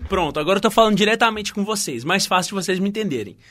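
This man's voice is high, with a bright, sharp tone and an animated delivery. The recording is very clean, with a silent background. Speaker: podcast host. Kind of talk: casual solo music podcast.

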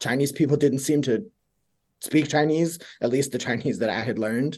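A man's fairly high voice at a fairly quick pace. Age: young. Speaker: language education researcher. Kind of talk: interview.

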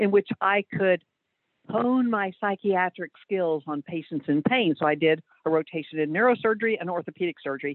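A woman at a fairly low pitch with ordinary pitch variation. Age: 60s. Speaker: orthopedic surgeon. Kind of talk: interview. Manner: halting, frequent fillers.

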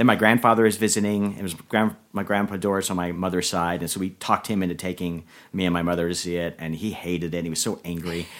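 Speaking very fast with an American accent, a man with a very deep, low voice keeps a fairly even intonation on a very clean recording with a silent background. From Florida (Orlando). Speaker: screenwriter. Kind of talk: casual interview chat.

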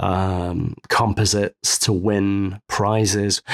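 A man with a Mancunian accent speaks at a fairly low pitch. The sound is dry and close with no echo, on a very clean recording with a silent background. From Manchester, England. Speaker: photo retoucher. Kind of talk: interview.

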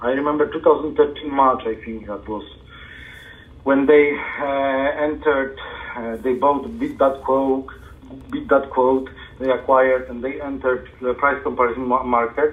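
A man in a Polish accent talks at a fairly slow pace with fairly even intonation. He leaves long, frequent pauses. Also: medium pitch for a man. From Poland. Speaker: SEO consultant. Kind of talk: interview.

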